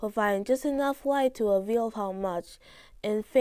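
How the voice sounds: This is a natural reading voice. It has ordinary pitch variation.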